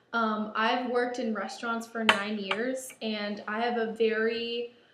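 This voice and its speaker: Against noticeable background noise, a woman talks very slowly. Her fairly high voice stays monotone and flat. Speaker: baker and shop co-owner. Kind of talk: audition video. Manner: loud.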